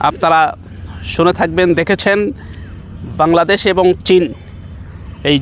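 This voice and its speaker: A man talks in a high pitch with a monotone, flat intonation. Noticeable background noise runs underneath. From Bangladesh, Nilphamari (northern Bangladesh). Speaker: Islamic scholar and madrasa principal. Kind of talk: public appeal to camera. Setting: outdoors on site.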